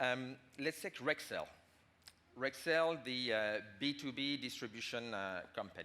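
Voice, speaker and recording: At a very slow pace, a man with a French accent speaks with medium pitch, lively intonation, and a bright, sharp tone. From France. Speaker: management consultant. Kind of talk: conference talk. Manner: halting.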